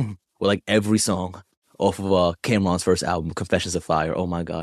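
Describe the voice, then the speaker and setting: Speaking with a New York accent, the voice moves at a fairly quick pace with fairly even intonation. The background is quiet. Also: man, dry, close sound with no echo. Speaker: podcast co-host. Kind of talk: casual chat.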